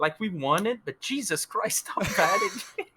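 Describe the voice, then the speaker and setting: Projecting a raised voice, a man with a high pitch and a bright, sharp tone comes through on a very clean recording with a silent background. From France. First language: French. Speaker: esports player. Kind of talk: post-match interview. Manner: animated.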